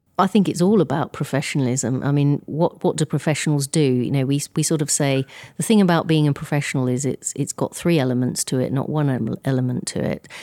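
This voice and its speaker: With an English accent, a woman talks at a very fast pace with hardly any pauses, a very deep, low pitch, a dark, mellow tone and ordinary pitch variation, on a very clean recording with a silent background and a dry, close sound with no echo. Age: 50s. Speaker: insurance industry chief executive. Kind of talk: interview. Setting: live event. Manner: halting, many fillers.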